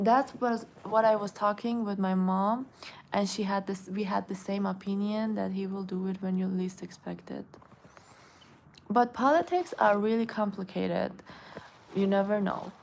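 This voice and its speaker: Speaking at a moderate pace with a slight Iranian accent, a woman keeps her medium-pitched voice fairly even in intonation. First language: Persian. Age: 20s. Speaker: beauty influencer. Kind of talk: live stream chat reading comments. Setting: live stream at home. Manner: casual, halting with self-corrections.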